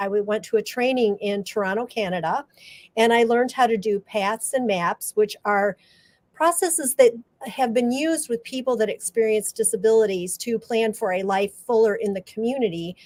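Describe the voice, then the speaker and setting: With an unremarkable speaking voice, a woman talks at a moderate pace and fairly high pitch, with ordinary pitch variation, in a dry, close sound with no echo. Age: 60s. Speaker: graphic facilitator. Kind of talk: interview.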